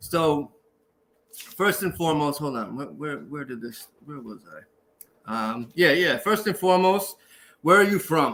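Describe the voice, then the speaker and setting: With a Boston accent, a man speaks fairly slowly at a fairly high pitch in a bright, sharp tone, his intonation lively, his loudness swinging widely and his speech marked by long, frequent pauses. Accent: Boston American. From Boston, Dorchester, US. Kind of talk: casual interview chat.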